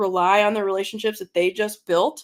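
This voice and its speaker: On a very clean recording with a silent background, a woman with a Midwestern accent speaks at a fairly high pitch. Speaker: podcast co-host in AV industry. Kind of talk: casual chat.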